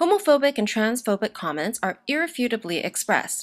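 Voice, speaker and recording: A woman's fairly high voice with very wide pitch swings. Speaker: university student. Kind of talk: academic video essay narration. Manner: fast.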